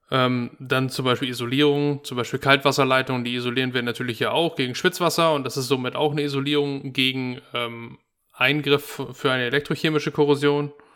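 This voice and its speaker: On a very clean recording with a silent background, a man speaks at a medium pitch in a bright, sharp tone with monotone, flat intonation. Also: hardly any pauses. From northern Germany. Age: 30s. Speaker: heating service technician. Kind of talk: casual educational chat. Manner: hesitant, many fillers.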